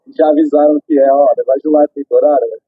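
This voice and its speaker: A man is speaking. Music plays in the background. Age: 30s. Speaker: prosthetics clinic owner, amputee. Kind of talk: street interview testimony.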